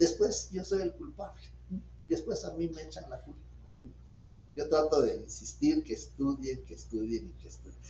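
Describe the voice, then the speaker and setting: At a moderate pace, the speech shows big swings in loudness and long, frequent pauses. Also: man. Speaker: law professor. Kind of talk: lecture. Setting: video call.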